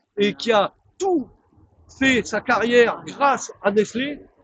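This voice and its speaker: A man's high-pitched, animated voice in a dry, close sound with no echo. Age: 60s. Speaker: glassworks factory worker. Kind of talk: interview.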